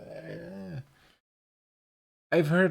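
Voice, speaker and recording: With a German accent, a man speaks using lively intonation. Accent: German accent, soft regional dialect flavour. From Germany. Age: 30s. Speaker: streamer. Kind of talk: casual chat. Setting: live stream on Discord.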